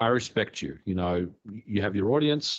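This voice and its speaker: At a moderate pace, a plain, everyday voice carries lively intonation. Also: man. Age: 40s. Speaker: retro gaming YouTuber. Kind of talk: interview conversation.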